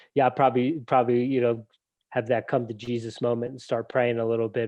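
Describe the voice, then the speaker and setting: With an American accent, a man talks at a medium pitch. He keeps a fairly quick pace. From New Jersey, near the Pine Barrens. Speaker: show co-host. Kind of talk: casual panel discussion.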